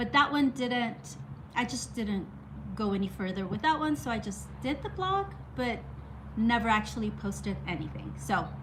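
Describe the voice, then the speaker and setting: The speech comes at a moderate pace, with noticeable background noise and audible room echo. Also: woman. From Mexico. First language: Spanish. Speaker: art YouTuber. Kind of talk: casual story time monologue. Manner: halting, many restarts.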